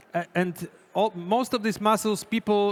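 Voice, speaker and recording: Speaking with a Polish accent, a man uses a high pitch, fairly even intonation and a moderate pace. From Poland. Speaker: chef giving a cooking demonstration. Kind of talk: live cooking demonstration.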